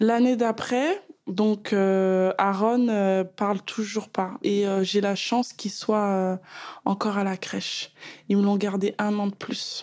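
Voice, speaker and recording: Over a silent background in a very clean recording, a woman at medium pitch talks at a very slow pace with monotone, flat intonation. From Paris suburbs, France. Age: 30s. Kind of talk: personal testimony. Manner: hesitant, many fillers.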